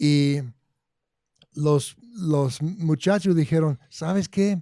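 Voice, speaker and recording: In an English accent, a man speaks at a very slow pace with a fairly high pitch, a dark, mellow tone and ordinary pitch variation, the sound dry and close with no echo. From Arizona. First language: English (speaking Spanish). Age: 60s. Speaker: agronomy consultant. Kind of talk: interview.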